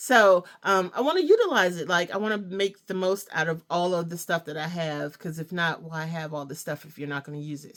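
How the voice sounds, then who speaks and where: Fairly quick and fairly low in pitch, a woman speaks with ordinary pitch variation. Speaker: crochet maker and small business owner. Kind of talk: casual craft show-and-tell vlog. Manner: hesitant fillers (um, uh).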